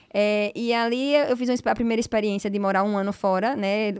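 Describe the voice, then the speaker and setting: A woman speaks at a fairly quick pace with a medium pitch. Her intonation stays fairly even. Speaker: law professor and lawyer. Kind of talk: podcast interview. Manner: hesitant, repetitive fillers.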